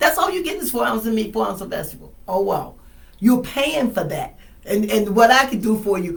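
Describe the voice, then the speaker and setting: Her pace is very fast. The woman's fairly high pitch moves in very wide swings. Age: 60s. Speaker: wellness patient sharing her story. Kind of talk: testimony.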